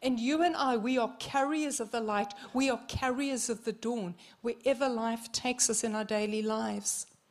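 Animated in tone, a woman with a New Zealand accent speaks at a fairly high pitch and a moderate pace. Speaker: visiting minister. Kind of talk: sermon. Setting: church service.

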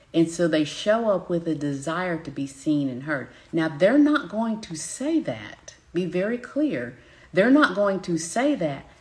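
A woman with a Southern US accent, fairly low pitch, very wide pitch swings and a fairly slow pace. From US South. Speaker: business coach. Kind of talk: live-stream teaching. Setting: live broadcast from home.

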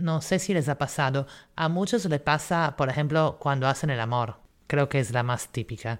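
Lively intonation runs through this woman's speech. The recording is very clean, with a silent background. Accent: Italian. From northeastern Italy, near Croatian border. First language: Italian (speaking Spanish). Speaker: podcast host. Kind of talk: educational storytelling monologue. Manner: animated.

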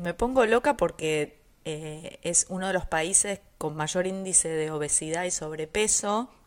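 In a normal speaking voice, a woman talks fairly slowly at a fairly low pitch with ordinary pitch variation and hardly any pauses, captured on a very clean recording with a silent background. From Argentina. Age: 50s. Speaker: podcast co-host, nutrition professional. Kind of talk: casual chat.

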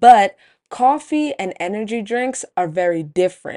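Against a quiet background, a woman talks at a fairly slow pace with a dark, mellow tone and a dry, close sound with no echo. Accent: American. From Brooklyn, New York. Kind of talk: scripted narration. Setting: studio.

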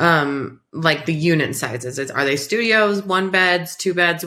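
A woman's bright, sharp tone, fairly low in pitch, with ordinary pitch variation at a moderate pace. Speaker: podcast co-host and landlord.

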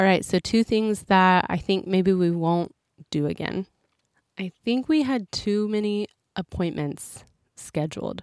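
A woman with an ordinary speaking voice talks fairly slowly at a medium pitch, with ordinary pitch variation and a dry, close sound with no echo. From United States. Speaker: missionary podcaster. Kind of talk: casual solo podcast monologue.

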